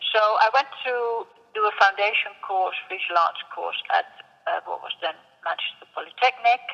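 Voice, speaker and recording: A woman with a Dutch accent speaks at a fairly slow pace. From Netherlands. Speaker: sculptor. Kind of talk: interview. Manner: hesitant, with fillers.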